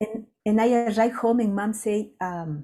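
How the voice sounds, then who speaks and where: A woman's fairly high, somewhat breathy voice with a dark, mellow tone and a Latin American accent. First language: Spanish. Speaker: ethnobotanist and conservation center founder. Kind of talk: storytelling in a webinar conversation. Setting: webinar.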